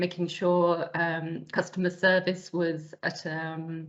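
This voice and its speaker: A woman speaks with a British accent. Her pitch is fairly low and her intonation monotone and flat. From UK. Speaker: operations director and process consultant. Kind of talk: interview. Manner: hesitant fillers (um, uh).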